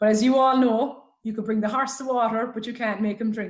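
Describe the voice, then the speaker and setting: Very fast speech in an Irish accent, with fairly even intonation. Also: woman. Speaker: health talk speaker. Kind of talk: presentation. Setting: webinar.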